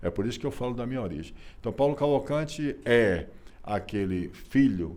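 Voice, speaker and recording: His tone is dark and mellow, his pitch fairly low. The man's intonation is lively. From Bahia, Brazil. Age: 60s. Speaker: businessman and lawyer. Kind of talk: interview. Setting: office.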